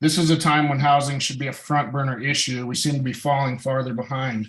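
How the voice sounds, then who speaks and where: In a normal speaking voice with an American accent, the speaker talks at a fairly quick pace. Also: man. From Montana. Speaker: public commenter, business owner. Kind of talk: public comment at council meeting. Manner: formal.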